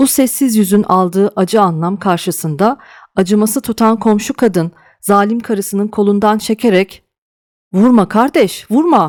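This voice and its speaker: In a very clean recording with a silent background and a dry, close sound with no echo, a woman talks at a moderate pace in an ordinary speaking voice with fairly high pitch. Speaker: audiobook narrator. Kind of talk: dramatic audiobook narration with character voices.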